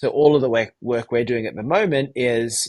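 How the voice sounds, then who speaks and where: This man has an Australian accent and a medium pitch, with ordinary pitch variation. He talks at a moderate pace against a quiet background. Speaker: tech company founder and CEO. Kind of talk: interview.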